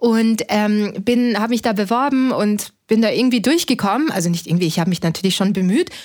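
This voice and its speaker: Using a plain, everyday voice, a woman with a fairly high pitch speaks at a fairly quick pace with lively intonation. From Austria (Linz). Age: 30s. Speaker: startup founder and physician. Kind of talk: interview conversation.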